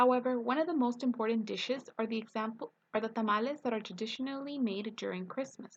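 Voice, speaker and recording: A woman in a Spanish accent, very fast, fairly high in pitch, with ordinary pitch variation. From East Los Angeles, California. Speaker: student. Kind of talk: reading aloud. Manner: scripted, read-aloud delivery.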